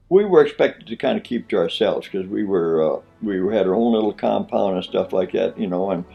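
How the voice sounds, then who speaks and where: With music in the background, a man talks at a fairly quick pace in an American accent. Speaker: Korean War army veteran. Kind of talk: interview answer.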